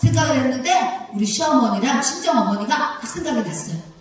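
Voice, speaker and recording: A woman's high-pitched, animated voice moves at a moderate pace. Audible room echo and noticeable background noise surround her. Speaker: pastor's wife and preacher. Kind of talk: sermon.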